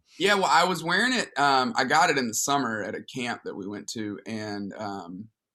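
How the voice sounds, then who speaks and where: The recording is very clean, with a silent background. A man with a Southern US accent talks at a moderate pace and medium pitch, with lively intonation. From Alabama. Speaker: pastor. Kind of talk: casual chat.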